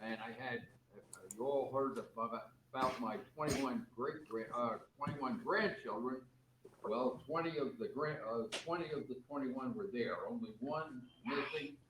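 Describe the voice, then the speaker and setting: Over noticeable background noise, a man talks at a moderate pace in a fairly high voice that makes very wide pitch swings. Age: 90s. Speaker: rotary club member. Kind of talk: club meeting announcements. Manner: halting.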